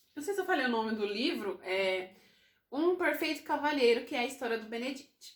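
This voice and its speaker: With a high pitch and very wide swings in it, a woman talks at a fairly quick pace. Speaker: book YouTuber. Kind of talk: casual book review vlog.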